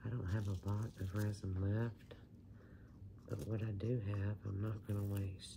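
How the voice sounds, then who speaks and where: A soft-spoken woman with a Southern US accent talks at a fairly slow pace in a very deep, low pitch, with monotone, flat intonation, very even loudness and audible room echo. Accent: country, rural Southern US. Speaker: resin craft hobbyist. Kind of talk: casual tutorial chat. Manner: quiet, soft-spoken.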